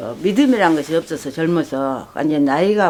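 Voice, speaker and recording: This woman's voice has a very deep, low pitch. She speaks at a moderate pace with ordinary pitch variation. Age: 80s+. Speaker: rural villager making makgeolli. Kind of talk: casual conversation at home.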